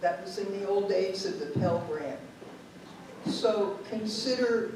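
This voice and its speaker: Over noticeable background noise and audible room echo, a woman speaks very slowly. Her pitch is medium, with ordinary variation. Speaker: retired sociology professor. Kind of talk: lecture.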